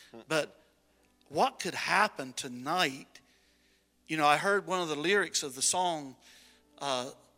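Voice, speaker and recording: With music in the background, a man with a fairly high pitch and ordinary pitch variation speaks at a fairly slow pace, leaving long, frequent pauses. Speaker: pastor. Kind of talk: sermon. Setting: church.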